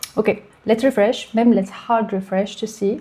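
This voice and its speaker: A woman with a French accent, fairly high in pitch, dark and mellow in tone, with fairly even intonation. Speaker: tech YouTuber, developer. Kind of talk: tutorial.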